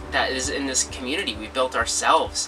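A man talks fairly fast, with clear music audible behind him. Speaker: channel host. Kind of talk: casual vlog chat. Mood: warm, encouraging. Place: home room.

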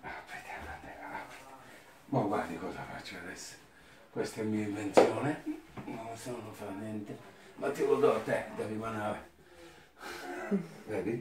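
The speaker goes at a fairly slow pace with fairly even intonation and long, frequent pauses. Audible room echo and noticeable background noise are present. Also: man, fairly low pitch for a man. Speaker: masseur. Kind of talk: casual talk to client during massage. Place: home room. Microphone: camera far.

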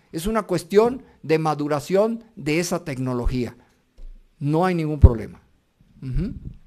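A man talks fairly slowly in a dark, mellow tone, leaving long, frequent pauses against a quiet background. His pitch is fairly high, and his intonation is lively. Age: 60s. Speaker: robotics researcher; lecturer. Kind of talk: lecture. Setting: university auditorium with audience.

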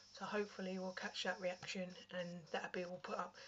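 A woman speaks at a fairly quick pace with a British accent. Her pitch sits in the medium range. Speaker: vlogger. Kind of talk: casual chat. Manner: casual, chatty.

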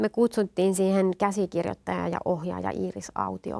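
Against a quiet background, a woman with a slight Satakunta accent speaks at a fairly slow pace. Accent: slight Rauma dialect. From Finland, Satakunta (Rauma/Eura area), partly eastern Finland; Finland. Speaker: guest. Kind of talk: interview, personal testimony. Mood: warm, smiling, personal. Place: studio. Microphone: lapel.

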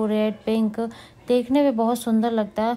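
The woman's voice carries a dark, mellow tone. She talks at a fairly slow pace. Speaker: vlogger narrating the drive. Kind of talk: casual vlog chat. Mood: pleased, relaxed. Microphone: phone near.

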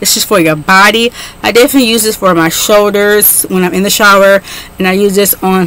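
A woman speaks, and the sound is dry with no echo. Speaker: beauty vlogger. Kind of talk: casual product review vlog. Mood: enthusiastic. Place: home room.

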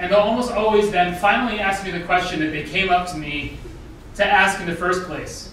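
A man speaks at a high pitch. There is audible room echo and light background noise. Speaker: guest lecturer. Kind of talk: lecture. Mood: warm, humorous storytelling. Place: hall.

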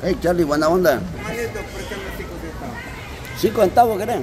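A man at a fairly high pitch and slow pace, with faint background noise and faint crowd noise behind him

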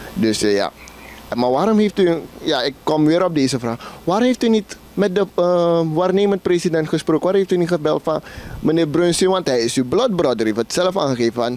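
Speaking at a moderate pace, a man with a high pitch uses lively intonation in a dry recording with no echo. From Suriname. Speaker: interviewer. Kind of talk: interview. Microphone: handheld.

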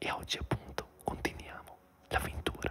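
Whispering comes from a man. His pace is moderate. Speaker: ASMR gaming creator. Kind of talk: relaxing whispered let's play commentary. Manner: whispered, soft-spoken. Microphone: studio mic.

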